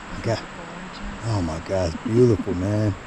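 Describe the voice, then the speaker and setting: A man whispers quietly at a fairly slow pace, with audible room echo and noticeable background noise. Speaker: nature vlogger. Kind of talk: casual vlog narration. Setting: outdoors on hiking trail. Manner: quiet, near whisper.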